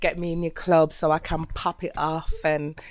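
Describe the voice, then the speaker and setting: This woman speaks at a fairly slow pace. Her pitch sits fairly low. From Birmingham, England. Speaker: singer-songwriter and rapper. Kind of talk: casual interview.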